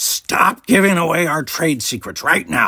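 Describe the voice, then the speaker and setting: In a put-on character voice, a man growls at a high pitch. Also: moderate pace, lively intonation. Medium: read story. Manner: wry, money-minded.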